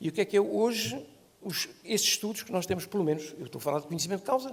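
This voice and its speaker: A man's voice, high in pitch. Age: 70s. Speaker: law professor and lawyer. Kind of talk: panel debate. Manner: halting, with repeated words.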